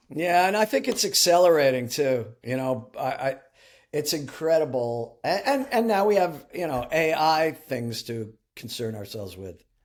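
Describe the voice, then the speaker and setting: The voice swings very widely in pitch at a moderate pace, with an American accent. The recording is very clean and the background silent. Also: man, fairly high pitch for a man. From New Jersey. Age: 60s. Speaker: songwriter and musician. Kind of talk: interview. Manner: halting.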